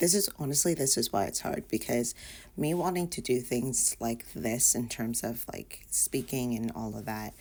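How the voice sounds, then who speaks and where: Soft-spoken with vocal fry, a woman talks in a very deep, low pitch with lively intonation. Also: moderate pace. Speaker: vlogger. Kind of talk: casual vlog monologue. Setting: in bedroom at home. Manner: soft-spoken, talking low; hesitant with many fillers.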